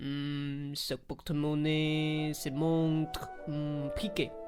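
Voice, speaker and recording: Over clear music in the background, a man does a put-on character voice, fairly high in pitch, monotone and flat, at a very slow pace. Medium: audio drama.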